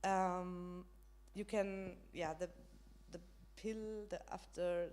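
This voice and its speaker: A woman talks with a German accent. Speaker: panelist on women's rights. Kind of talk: panel discussion. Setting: stage with audience, live stream. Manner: halting, many fillers.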